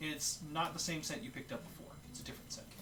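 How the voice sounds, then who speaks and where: A man talking at a fairly quick pace, with audible room echo and noticeable background noise. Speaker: dungeon master. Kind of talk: tabletop role-play narration. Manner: fast.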